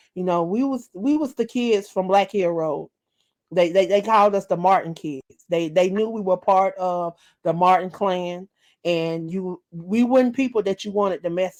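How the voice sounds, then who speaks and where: This speaker has a Southern US accent and ordinary pitch variation at a moderate pace. The recording is very clean with a silent background and a dry, close sound with no echo. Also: woman, medium pitch for a woman. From US South, rural South Carolina. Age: 40s. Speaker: author and internet radio host. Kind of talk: interview. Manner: halting, with fillers.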